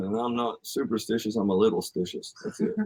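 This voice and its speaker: Speaking with a Southern US accent, the man uses a medium pitch. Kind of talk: casual podcast conversation.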